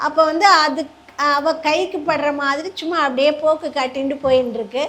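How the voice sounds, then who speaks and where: Her intonation fairly even, a woman speaks with a high voice. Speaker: storyteller. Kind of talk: religious story discourse to a live audience. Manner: warm, graceful.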